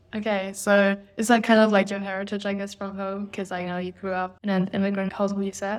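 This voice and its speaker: A woman of medium pitch talks very fast with hardly any pauses. Her intonation is monotone and flat. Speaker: podcast host. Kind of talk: interview chat.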